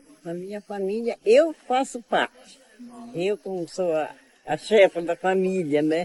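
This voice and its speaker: Speaking at a very slow pace, a woman with a fairly low pitch shows ordinary pitch variation over noticeable background noise. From Brazil, Pará (Alter do Chão, Amazon region). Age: 80s+. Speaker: traditional prayer leader. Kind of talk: interview. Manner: halting, many repetitions and fillers.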